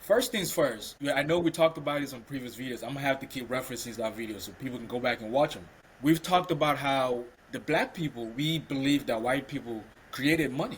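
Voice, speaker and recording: A man's fairly high, somewhat breathy voice at a very fast pace, with ordinary pitch variation and big swings in loudness. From Cameroon. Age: 30s. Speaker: podcast co-host. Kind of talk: casual discussion.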